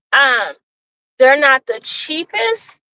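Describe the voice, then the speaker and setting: A woman projects a raised, high voice with a bright, sharp tone, speaking very slowly in a dry, close sound with no echo. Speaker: vlogger giving a driving tour. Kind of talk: casual vlog narration while driving. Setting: in a car. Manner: loud.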